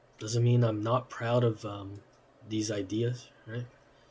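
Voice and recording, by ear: A man speaks slowly in a fairly low pitch. His tone is slightly mellow.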